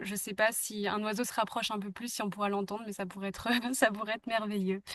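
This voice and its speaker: At a very fast pace, a woman delivers her lines fairly high-pitched in a monotone, flat intonation. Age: 20s. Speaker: podcast host. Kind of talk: interview. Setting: outdoors in a garden. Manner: hesitant, many fillers.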